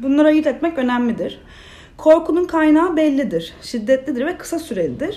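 Over noticeable background noise, a woman with a high pitch talks at a moderate pace with ordinary pitch variation. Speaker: clinical psychologist. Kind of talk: interview, explaining mental health topics.

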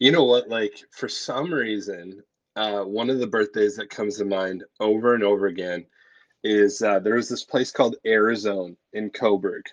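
With a plain, everyday voice, a man speaks at a moderate pace at a fairly low pitch with ordinary pitch variation against a quiet background. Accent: Canadian. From Canada, Ontario. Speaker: pastor and podcast co-host. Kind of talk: casual chat.

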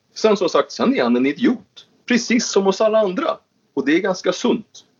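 A man talks at a moderate pace. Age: 40s. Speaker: venture capitalist and politician. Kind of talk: casual interview.

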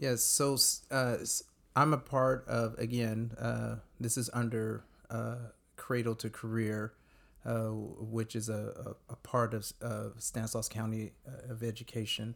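A man with a Californian accent speaks at a medium pitch in a monotone, flat intonation. The recording is very clean, with a silent background. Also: fairly slow pace. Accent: Californian American. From US West Coast, Modesto, California. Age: 40s. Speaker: youth advocate, former youth pastor. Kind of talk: radio interview.

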